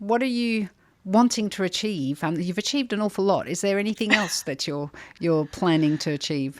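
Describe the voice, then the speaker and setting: A woman with an Australian accent talks at a moderate pace and a medium pitch, her pitch swinging very widely, in a very clean recording with a silent background. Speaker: podcast host, charity CEO. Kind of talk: interview podcast.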